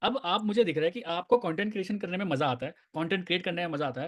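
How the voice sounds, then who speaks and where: This man's intonation is lively. He speaks in an animated tone. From Uttar Pradesh, India. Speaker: network marketing team leader. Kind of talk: casual group discussion.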